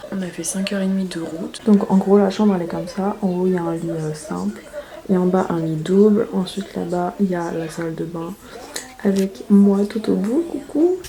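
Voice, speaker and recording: Soft-spoken at a medium pitch, a woman talks at a moderate pace with ordinary pitch variation over noticeable background noise. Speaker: beauty vlogger. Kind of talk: casual vlog. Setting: hotel room. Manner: casual, filler-heavy.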